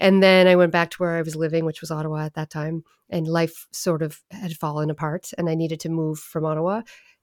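A woman with a Maritime Canadian accent speaks at a very fast pace with hardly any pauses. Her pitch is fairly low and her intonation monotone and flat. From Prince Edward Island, Canada (Summerside). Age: 40s. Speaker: poet and musician. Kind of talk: casual interview chat.

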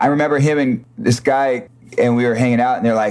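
In an American accent, a man speaks in an ordinary speaking voice. His pitch is medium and his intonation fairly even. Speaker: singer in a band. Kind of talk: casual interview chat.

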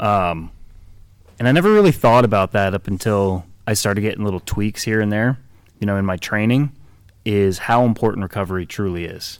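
A man with a plain, everyday voice, fairly low in pitch, at a fairly quick pace with ordinary pitch variation, on a very clean recording with a silent background. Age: 30s. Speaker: fitness podcaster, former college baseball player. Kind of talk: casual chat. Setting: gym warehouse with background noise.

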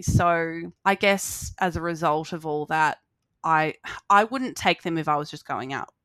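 A woman's fairly low, bright, sharp voice in an Australian accent, with lively intonation at a fairly slow pace, in a dry, close sound with no echo. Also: very clean recording, silent background. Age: 30s. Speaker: social work student and court support worker. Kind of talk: casual interview chat.

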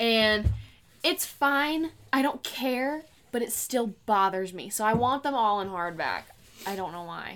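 On a very clean recording with a silent background, a woman with an ordinary speaking voice talks at a fairly high pitch with lively intonation. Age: young. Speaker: book podcast co-host. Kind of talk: casual chat.

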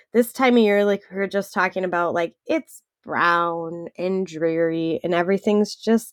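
In a Wisconsin accent, a woman speaks at medium pitch with fairly even intonation, in a dry, close sound with no echo. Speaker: podcast co-host.

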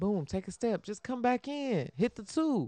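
An animated tone comes through in an American accent against a quiet background. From Chicago, US Midwest. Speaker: sports podcaster. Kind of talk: live sports commentary while watching a game, casual reaction chat. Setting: home, watching game live. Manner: animated, excitable, conversational; fast talking, reacting as plays happen.

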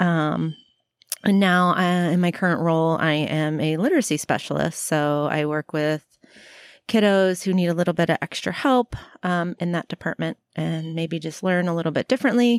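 A woman with a plain, everyday voice and an American accent speaks at a moderate pace with fairly low pitch and ordinary pitch variation, in a dry, close sound with no echo on a very clean recording with a silent background. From Florida, US South. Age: 40s. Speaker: teacher and personal trainer. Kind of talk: casual chat. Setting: outdoors on a porch.

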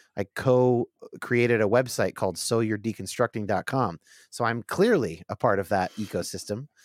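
A man's unremarkable speaking voice at medium pitch, dry and close with no echo, on a very clean recording with a silent background. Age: 30s. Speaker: podcast host guest. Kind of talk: casual chat.

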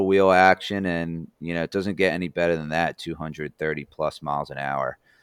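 Speaking with an American accent, a man keeps a moderate pace. The recording is very clean, with a silent background and a dry, close sound with no echo. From New Jersey. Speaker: former race car driver. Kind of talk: casual chat.

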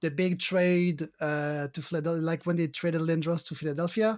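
Speaking at a high pitch, a man talks with a French Canadian accent. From Quebec. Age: 40s. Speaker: card game judge. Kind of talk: interview. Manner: hesitant, many fillers.

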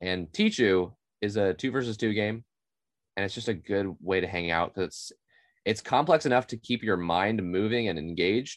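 A man with an American accent speaks at a moderate pace against a quiet background. His is a plain, everyday voice, fairly low in pitch with ordinary pitch variation. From Oklahoma (Tulsa). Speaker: board game podcast co-host. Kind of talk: casual chat.

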